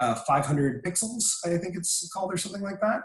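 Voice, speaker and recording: A man speaks in a somewhat breathy voice. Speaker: presenter on copyright and licensing. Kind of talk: webinar presentation. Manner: frequent filler words.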